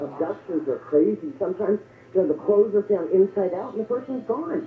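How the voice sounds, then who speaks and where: Very wide pitch swings mark a woman's speech at a fairly quick pace. Noticeable background noise is present. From Southern California. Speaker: caller. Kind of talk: phone-in call.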